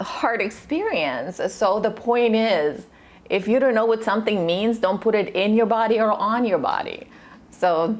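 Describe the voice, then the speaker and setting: A woman with a Russian accent, medium pitch, vocal fry and a moderate pace. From Russia, moved to US at twelve. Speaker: nutritionist. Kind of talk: casual interview chat. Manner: animated.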